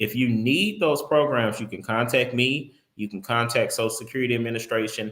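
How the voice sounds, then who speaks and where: A man talks at a moderate pace with ordinary pitch variation. His is a normal speaking voice. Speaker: insurance agent. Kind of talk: live stream tutorial.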